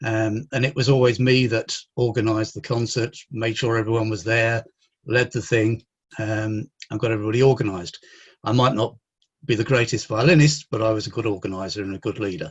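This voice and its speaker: Somewhat breathy, a man with an English accent talks at a fairly quick pace and a medium pitch. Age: 60s. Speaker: mental health consultant. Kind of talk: interview.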